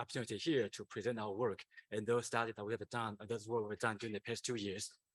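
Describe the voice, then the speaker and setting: A man with a non-native accent, medium pitch and monotone, flat intonation, in a dry, close sound with no echo. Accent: foreign accent in English. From Taiwan. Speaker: company founder and CEO. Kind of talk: conference presentation. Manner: hesitant, many fillers.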